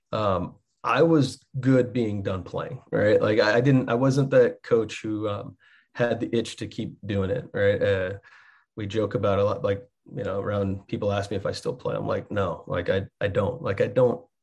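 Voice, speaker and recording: A somewhat breathy male voice with an American accent, medium pitch and ordinary pitch variation, over a quiet background. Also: moderate pace. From Texas. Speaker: college soccer coach, former pro player. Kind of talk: podcast interview.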